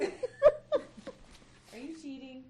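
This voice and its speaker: A female-sounding voice puts on a character voice with a high pitch. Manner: stern, accusing.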